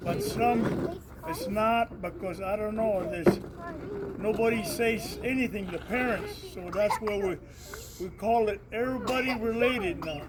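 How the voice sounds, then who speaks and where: Fairly slow speech with an American accent and ordinary pitch variation, amid noticeable background noise and audible room echo. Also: man, high pitch for a man. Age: 70s. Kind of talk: casual talk to community gathering. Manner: halting.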